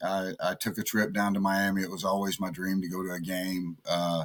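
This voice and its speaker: This man speaks at a moderate pace. His pitch is fairly low. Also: very clean recording, silent background. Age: 60s. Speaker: fan charity founder. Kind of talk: interview. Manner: halting.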